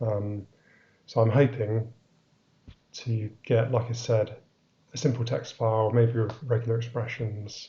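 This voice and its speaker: A man's somewhat breathy voice at medium pitch, monotone and flat, with long, frequent pauses. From England. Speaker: software developer. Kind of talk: live-streamed technical talk. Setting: live stream. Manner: hesitant, many fillers.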